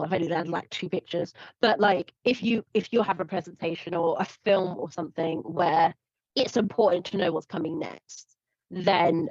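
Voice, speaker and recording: A woman with a British accent, fairly low in pitch, at a moderate pace, in a dry, close sound with no echo. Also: ordinary pitch variation. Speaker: presenter giving a workshop on online performance. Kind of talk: presentation. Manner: casual, filler-heavy.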